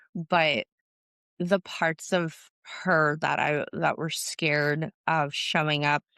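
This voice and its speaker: A woman with an American accent speaks in a very deep, low pitch, with a dry, close sound with no echo on a very clean recording with a silent background. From Southern California. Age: 30s. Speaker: business founder and agency owner. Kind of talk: podcast interview.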